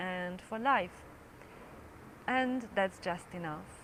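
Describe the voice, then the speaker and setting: The speaker has a non-native accent and a calm tone, talking at a very slow pace. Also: woman. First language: not English. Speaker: English teacher and mindfulness creator. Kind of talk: reflective personal talk to camera. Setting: speaking to a camera. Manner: calm, unhurried.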